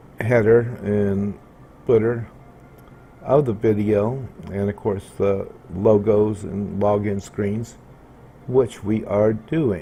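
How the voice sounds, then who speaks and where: A man with a fairly low voice speaks at a very slow pace with fairly even intonation and long, frequent pauses. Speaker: video tutorial creator. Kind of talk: tutorial. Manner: loud.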